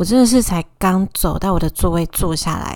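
A woman talks with an animated tone at a fairly low pitch. Her pace is moderate and her pitch variation ordinary. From Taiwan, Taoyuan. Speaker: podcast host. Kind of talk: casual solo monologue. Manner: animated, emotional.

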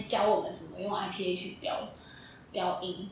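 Female speech under noticeable background noise, with audible room echo. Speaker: speech therapy student. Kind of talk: casual interview.

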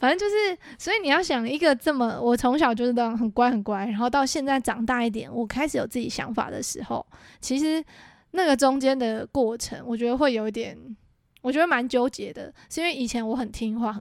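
A woman speaks at a high pitch with ordinary pitch variation and a fairly quick pace. The recording is very clean, with a silent background. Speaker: podcast co-host. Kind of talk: casual chat. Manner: fast.

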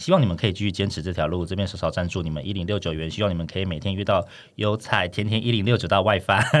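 In a very clean recording with a silent background, a man with a Taiwanese accent and a very deep, low pitch talks at a very fast pace with ordinary pitch variation. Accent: Taiwanese Mandarin. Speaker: podcast co-host. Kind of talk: casual chat. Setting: studio. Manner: laughs often.

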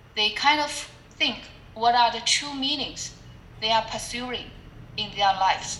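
A woman with a Chinese accent speaks at a fairly slow pace, pausing long and often. Her pitch is fairly high with ordinary variation, and noticeable background noise is present. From China (Shanghai). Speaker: public speaking club leader and team coach. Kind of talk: interview. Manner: halting, with fillers.

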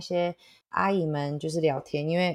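On a very clean recording with a silent background, a woman with an unremarkable speaking voice and fairly low pitch speaks at a moderate pace with fairly even intonation. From Toronto, Canada (from age 8, born in Taitung). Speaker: café owner and chef. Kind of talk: interview, casual chat.

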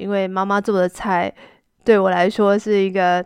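In a quiet background, a woman's medium-pitched voice comes across dry and close with no echo and fairly even intonation. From Taiwan. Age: 40s. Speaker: Chinese language teacher, podcast host. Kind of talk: slow-paced language-learning monologue. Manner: clear, deliberate pace for learners.

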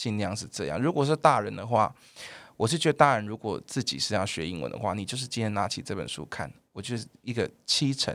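A man with a Taiwanese accent, fairly low in pitch, with vocal fry, lively intonation and a fairly quick pace, on a very clean recording with a silent background. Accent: Taiwanese Mandarin. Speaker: primary school English teacher. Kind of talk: casual chat. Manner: loud.

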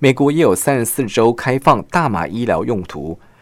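A man speaks at a medium pitch and a moderate pace, with vocal fry. The recording is very clean, with a silent background. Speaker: radio news feature reporter. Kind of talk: scripted narration. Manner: formal.

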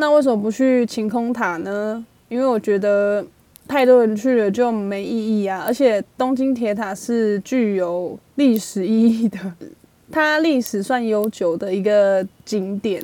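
Her voice fairly high in pitch, a woman speaks at a fairly slow pace in a dark, mellow tone with ordinary pitch variation. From Taiwan. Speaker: podcast host. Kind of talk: true crime storytelling; casual chat. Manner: animated.

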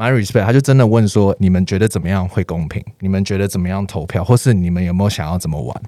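Against noticeable background noise, a man rattles on at a very fast pace and fairly low pitch, with ordinary pitch variation and hardly any pauses. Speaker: street dancer. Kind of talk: casual interview.

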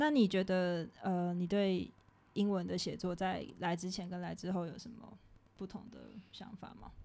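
A woman's dark, mellow voice at medium pitch, in a Taiwanese accent, with ordinary pitch variation, big swings in loudness and a moderate pace. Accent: Taiwanese Mandarin. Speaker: podcast co-host, student abroad. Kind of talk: casual chat.

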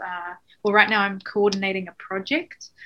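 A New Zealand-accented woman at a medium pitch and moderate pace. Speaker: NGO worker. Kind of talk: interview.

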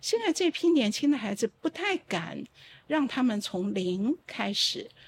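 A woman speaks at a fairly slow pace, her pitch swinging very widely. The sound is dry and close, with no echo. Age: 60s. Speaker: opera playwright and professor. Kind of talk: casual chat. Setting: live stream with studio audience.

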